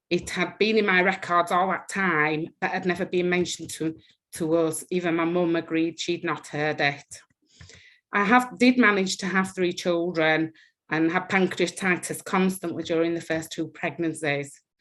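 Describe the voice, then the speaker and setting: A woman speaks with a strong Yorkshire accent at a moderate pace. Her fairly low voice keeps a fairly even intonation. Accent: thick Yorkshire. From northern England, West Yorkshire. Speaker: patient with rare disease. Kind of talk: personal testimony.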